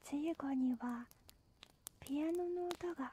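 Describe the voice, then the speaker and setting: Soft-spoken, the speaker goes along at a very slow pace. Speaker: storyteller. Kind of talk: bedtime story reading. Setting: campfire sounds and music in background. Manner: halting, stammering.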